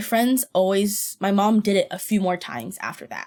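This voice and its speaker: A woman speaks at medium pitch. Her pace is moderate. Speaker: podcaster. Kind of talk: casual chat.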